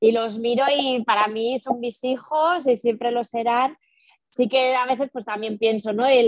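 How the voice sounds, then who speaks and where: The speech moves at a fairly slow pace. Its intonation remains fairly even. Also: woman, high pitch for a woman. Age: 40s. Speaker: single mother sharing fertility story. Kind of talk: personal testimony interview. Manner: halting, many repetitions and fillers.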